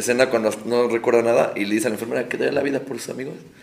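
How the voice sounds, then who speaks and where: Over noticeable background noise, a man with a medium pitch talks at a very fast pace. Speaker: guest co-host. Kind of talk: casual chat.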